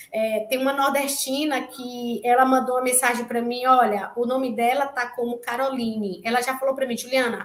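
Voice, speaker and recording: Speaking at a moderate pace, a woman uses a high pitch and a monotone, flat intonation over noticeable background noise. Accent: northeastern Brazilian. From Brazil, interior of Bahia (Itabuna). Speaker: researcher, graduate student. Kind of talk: invited talk in an online class. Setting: online live session. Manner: halting, many fillers.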